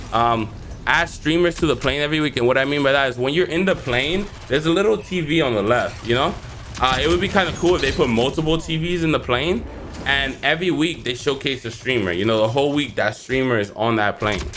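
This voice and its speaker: A man at a very fast pace with lively intonation, amid noticeable background noise. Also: fairly high pitch for a man. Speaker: gaming youtuber. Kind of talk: casual video commentary.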